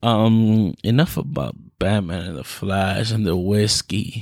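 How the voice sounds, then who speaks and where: Speaking fairly slowly with ordinary pitch variation, a man with an American accent has a plain, everyday voice on a very clean recording with a silent background. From Florida. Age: 20s. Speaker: podcast host. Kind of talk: casual monologue. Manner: laughs often.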